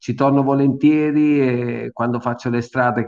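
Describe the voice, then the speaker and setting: With monotone, flat intonation, a man holds a medium pitch as he talks. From Tramonti, Amalfi Coast, Campania, southern Italy. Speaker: racing driver and test driver. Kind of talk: radio interview.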